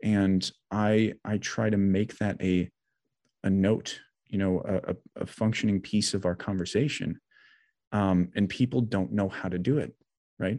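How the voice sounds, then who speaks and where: A man with an American accent speaks at a fairly slow pace, leaving long, frequent pauses. His fairly low voice keeps a fairly even intonation against a quiet background. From US Midwest, Janesville, Wisconsin. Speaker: mental health coach and combat veteran. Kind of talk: interview conversation.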